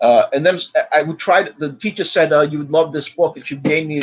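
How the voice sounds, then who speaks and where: Hardly pausing at all, a man rattles along at a very fast pace in a fairly high pitch. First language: not English. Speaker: podcast co-host. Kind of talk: casual chat.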